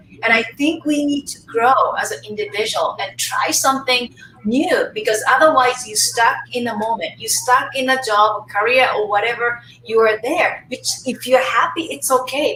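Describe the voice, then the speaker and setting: With a Japanese accent, a woman projects a raised voice at a high pitch, using lively intonation at a moderate pace amid noticeable background noise. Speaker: face yoga teacher. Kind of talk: casual chat. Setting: live webinar, video call.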